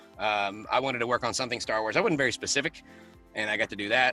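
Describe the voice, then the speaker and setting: Music plays behind a man who talks very fast at a medium pitch. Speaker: voice actor. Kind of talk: interview answer. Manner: casual.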